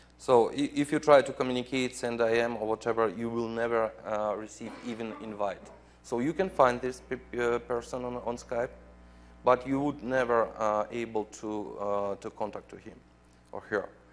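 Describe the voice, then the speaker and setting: At a moderate pace, the speaker talks with a non-native accent and fairly even intonation. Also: man, medium pitch for a man. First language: not English. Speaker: software program manager presenting at a conference. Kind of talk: conference presentation with live demo. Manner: halting, many fillers.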